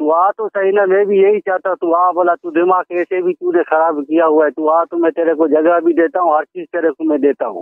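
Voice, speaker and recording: Recorded dry with no echo and a quiet background, a man talks at a moderate pace and a high pitch, his intonation fairly even. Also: hardly any pauses. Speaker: streamer or podcaster. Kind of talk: heated one-sided argument, as if on a call. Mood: annoyed, confrontational. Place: home room.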